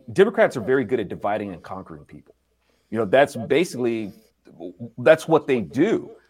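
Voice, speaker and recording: A man's medium-pitched voice with vocal fry, very wide pitch swings, big swings in loudness, a fairly quick pace and long, frequent pauses. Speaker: album producer, multimedia creator. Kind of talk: casual interview chat.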